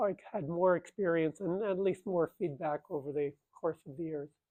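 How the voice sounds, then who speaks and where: Here a man speaks at a high pitch. His intonation stays fairly even. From Finland. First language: Finnish. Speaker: physics professor. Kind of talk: lecture. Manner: halting, many fillers.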